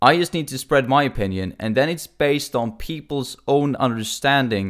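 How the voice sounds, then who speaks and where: Speaking at a moderate pace, a man talks with ordinary pitch variation. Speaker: podcaster. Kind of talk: unscripted monologue. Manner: halting.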